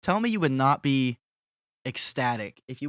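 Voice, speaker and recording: A man talks at a moderate pace. The recording is very clean, with a silent background and a dry, close sound with no echo. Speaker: streamer and podcast host. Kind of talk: casual chat. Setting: live stream. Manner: louder than normal streaming voice; clear enunciation.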